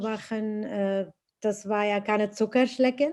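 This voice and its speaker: Against a quiet background, a woman with a fairly high pitch and a dark, mellow tone speaks at a moderate pace. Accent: non-native. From Iraq. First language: Arabic (speaking German). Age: 50s. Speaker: teaching assistant and interpreter. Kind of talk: interview testimony. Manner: halting, many hesitations.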